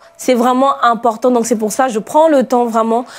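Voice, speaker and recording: This woman has a high-pitched voice with ordinary pitch variation. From outside France. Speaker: pastor. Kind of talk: sermon. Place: studio. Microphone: lapel.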